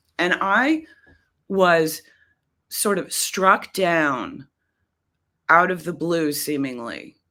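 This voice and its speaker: In a very clean recording with a silent background, a woman with a fairly low pitch and a bright, sharp tone speaks very slowly with lively intonation and long, frequent pauses. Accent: American. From US Northeast, Boston. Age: 60s. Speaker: poet. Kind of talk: podcast interview. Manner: calming; halting.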